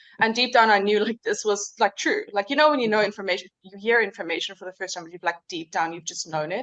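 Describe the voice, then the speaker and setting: A woman at medium pitch speaks very fast with hardly any pauses, her loudness swinging widely while her pitch varies in an ordinary way. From South Africa, Cape Town. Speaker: hypnosis practitioner, former architect. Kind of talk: interview. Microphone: a little quiet.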